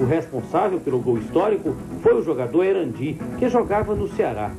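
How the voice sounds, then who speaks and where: Background music plays as the speaker goes along at a moderate pace. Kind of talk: documentary narration.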